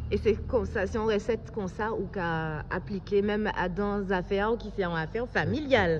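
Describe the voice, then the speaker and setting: A woman speaks at a moderate pace with hardly any pauses. She has a plain, everyday voice. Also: medium pitch for a woman, ordinary pitch variation. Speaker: interviewer. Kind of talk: interview questions.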